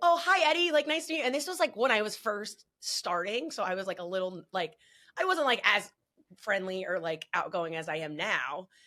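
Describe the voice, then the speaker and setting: Loud and with a New Jersey accent, a woman speaks at a medium pitch and a fairly quick pace. Her pitch swings very widely. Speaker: wrestling podcast host. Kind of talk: casual chat.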